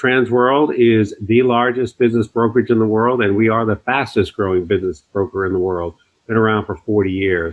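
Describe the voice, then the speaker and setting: In an ordinary speaking voice, a man talks at a fairly quick pace with hardly any pauses, his medium pitch showing ordinary variation. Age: 50s. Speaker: podcast host. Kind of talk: interview.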